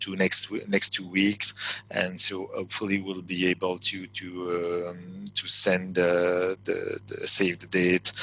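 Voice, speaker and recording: At a very slow pace, a man speaks in a fairly low pitch. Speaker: webinar presenter. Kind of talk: webinar presentation. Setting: online webinar. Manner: halting, many hesitations and repetitions.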